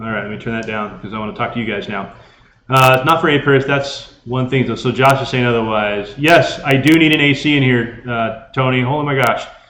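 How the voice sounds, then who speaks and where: A man speaks loudly at a fairly quick pace, his medium-pitched voice bright and sharp with ordinary pitch variation. Room echo can be heard. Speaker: ham radio youtuber. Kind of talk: live stream chat. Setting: garage.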